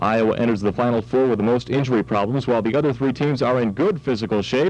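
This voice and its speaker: A man with an American accent. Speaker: college radio DJ. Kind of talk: student radio show host with news and sports updates.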